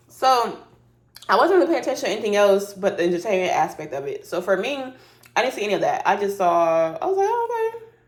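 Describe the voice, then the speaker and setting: There is noticeable background noise in this clip. A woman talks at a very fast pace. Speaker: YouTuber reality TV commentator. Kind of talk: casual commentary.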